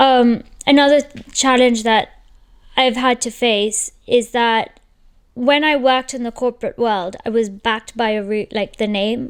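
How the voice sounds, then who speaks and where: A woman's high-pitched voice at a fairly slow pace, with fairly even intonation. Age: 30s. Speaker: entrepreneur, channel host. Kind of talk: casual monologue.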